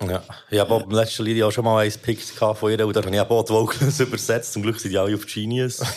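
A man with a Swiss accent, fairly low pitch and a monotone, flat intonation, talking at a very fast pace over noticeable background noise. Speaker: podcast host reviewing rap releases. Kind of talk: casual chat.

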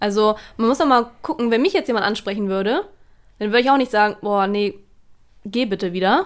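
Speaking at a fairly quick pace with lively intonation, a woman has an unremarkable speaking voice. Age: 20s. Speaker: office colleague of host. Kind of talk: casual chat.

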